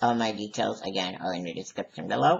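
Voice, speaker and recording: This man speaks with vocal fry. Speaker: YouTuber, wrestling recap channel. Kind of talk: casual monologue to camera. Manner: stuttering; hesitant with fillers.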